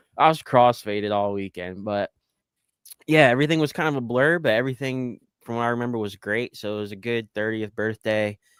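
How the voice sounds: At a fairly quick pace, a man speaks at medium pitch with ordinary pitch variation and a clear, smooth, fairly bright tone.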